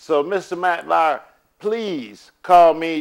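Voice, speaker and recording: Slow-ish and unhurried, a man talks at a fairly slow pace with a normal speaking voice and ordinary pitch variation. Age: 60s. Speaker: custodial father speaking out. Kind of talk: personal video appeal.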